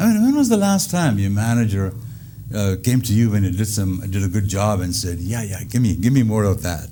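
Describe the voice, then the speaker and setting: A man speaks at a fairly quick pace with an Indian accent, his pitch fairly low with ordinary variation. Some room echo can be heard. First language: Indian language. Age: 70s. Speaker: comedian. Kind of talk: stand-up comedy routine in an interview. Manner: hesitant with frequent uh fillers.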